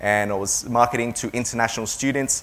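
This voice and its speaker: A man with an Australian accent speaks at medium pitch and a moderate pace. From Taiwan until 12, then Melbourne, Australia. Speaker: education agency owner. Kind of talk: seminar talk. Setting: seminar with audience.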